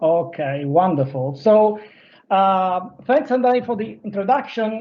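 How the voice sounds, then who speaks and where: A man's high voice with an Italian accent, very wide pitch swings, and audible room echo. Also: moderate pace. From Italy. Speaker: business development manager. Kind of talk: presentation. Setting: virtual stage. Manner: halting, many fillers.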